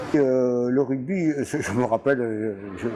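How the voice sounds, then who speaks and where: Against noticeable background noise, a man speaks at medium pitch with ordinary pitch variation. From southwest France, Gers (Mirande). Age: 80s+. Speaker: retired rugby coach. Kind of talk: interview, life story. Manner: halting, many hesitations.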